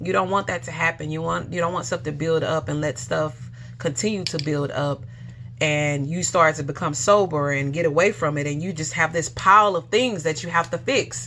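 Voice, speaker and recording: A woman with a very deep, low voice talks with ordinary pitch variation over noticeable background noise. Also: moderate pace. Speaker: vlogger sharing detox journey. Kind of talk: casual personal testimony. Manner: stuttering, halting.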